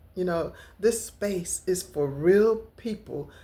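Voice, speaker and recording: A woman speaks at a very slow pace with lively intonation. Her tone is dark and mellow. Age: 60s. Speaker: lifestyle vlogger. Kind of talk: casual vlog talk to camera.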